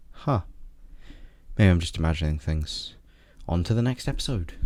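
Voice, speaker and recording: A man speaks with a British accent. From Britain. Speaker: video reviewer. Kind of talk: scripted commentary review.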